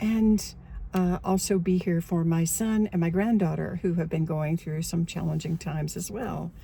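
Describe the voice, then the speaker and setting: The voice is somewhat breathy with a dark, mellow tone, fairly even intonation and a moderate pace. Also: woman, fairly low pitch for a woman. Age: 70s. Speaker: online coach and memoir author. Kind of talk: casual talk to camera.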